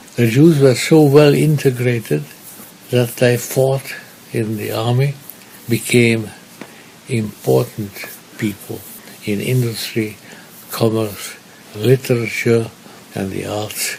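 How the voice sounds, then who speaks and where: A man speaks at a very slow pace with long, frequent pauses over noticeable background noise. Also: medium pitch for a man, ordinary pitch variation. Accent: Hungarian. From Budapest, Hungary. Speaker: Holocaust survivor. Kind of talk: interview answer.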